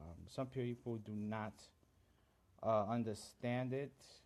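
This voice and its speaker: A man with a Central American accent. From Honduras. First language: Garifuna. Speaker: livestream host. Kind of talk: live stream chat. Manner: halting, many fillers.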